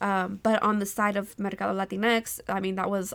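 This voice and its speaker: A woman with an American accent talks at a moderate pace in a medium pitch with ordinary pitch variation, an ordinary speaking voice, on a very clean recording with a silent background. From California, Central Valley (Modesto). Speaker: small business owner. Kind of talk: casual interview. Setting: at home after dinner.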